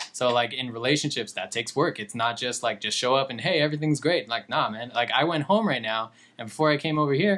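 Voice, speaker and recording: A man with an American accent talks at a very fast pace, his medium pitch carried by lively intonation. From Southern California (Fontana, Inland Empire). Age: 30s. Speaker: comic book artist. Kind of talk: podcast interview. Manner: casual, filler-heavy.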